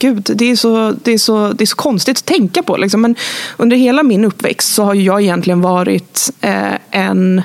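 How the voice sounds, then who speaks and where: A woman speaks at medium pitch and a moderate pace with ordinary pitch variation and very even loudness, over noticeable background noise. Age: 30s. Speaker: advertising critic. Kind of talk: interview. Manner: halting.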